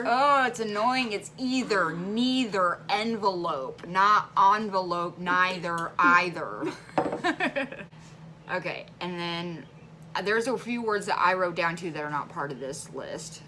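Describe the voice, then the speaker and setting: With an American accent, a woman at a medium pitch talks fairly slowly with lively intonation and big swings in loudness over noticeable background noise. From Central Illinois. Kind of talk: casual talk to camera.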